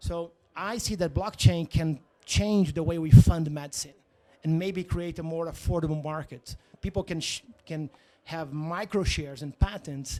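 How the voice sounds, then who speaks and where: Speaking at a moderate pace with a Portuguese accent, a man has a dark, mellow tone and ordinary pitch variation. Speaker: tech startup founder. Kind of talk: interview. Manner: halting, searching for words.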